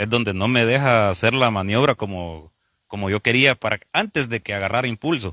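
Recorded very cleanly against a silent background, a man at medium pitch has a bright, sharp tone in a dry, close sound with no echo. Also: ordinary pitch variation, moderate pace. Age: 40s. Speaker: truck driver. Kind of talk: interview. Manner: halting.

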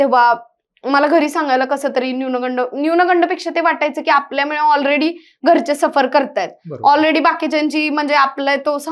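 The speech has fairly even intonation over a quiet background. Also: woman, high pitch for a woman. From Maharashtra, Mhaswad (Satara district, rural drought belt); Maharashtra. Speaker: civil service exam topper, government officer; guest. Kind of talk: interview. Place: studio. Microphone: lapel.

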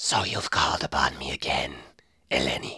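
A raspy put-on character voice moves along at a moderate pace. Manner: menacing, ominous.

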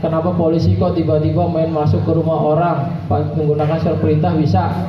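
There is audible room echo and light background noise. A man talks at a fairly quick pace in a fairly high voice. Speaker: police officer presenting road safety material. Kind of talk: school outreach talk to students. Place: hall. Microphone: handheld.

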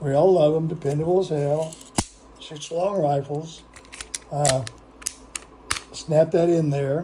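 Noticeable background noise runs under this recording. A man speaks at a fairly high pitch with fairly even intonation. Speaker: gun review youtuber. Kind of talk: casual product demo. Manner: halting, many fillers.

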